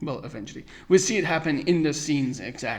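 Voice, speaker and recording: Here a man with an American accent speaks at a fairly high pitch. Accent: American-sounding English. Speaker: podcast host. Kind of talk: solo podcast review. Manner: halting.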